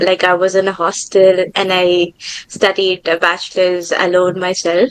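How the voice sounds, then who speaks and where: With a Tamil accent, the speaker goes at a fairly slow pace in a dry, close sound with no echo. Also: woman. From India, Tamil-speaking. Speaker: aerospace engineer. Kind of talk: interview.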